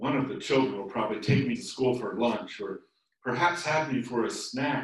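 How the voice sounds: A natural reading voice is heard over a quiet background.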